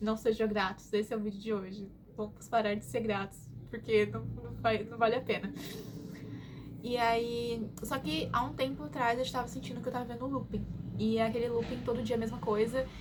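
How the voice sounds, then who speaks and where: A woman's fairly high voice moves at a moderate pace with ordinary pitch variation. Noticeable background noise runs underneath. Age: 20s. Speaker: vlogger. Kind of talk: casual chat. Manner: animated.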